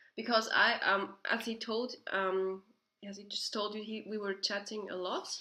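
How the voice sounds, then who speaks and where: Here a woman speaks with a Swiss German accent. Her pitch is medium and her pace moderate. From Switzerland. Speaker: video host. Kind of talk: casual chat.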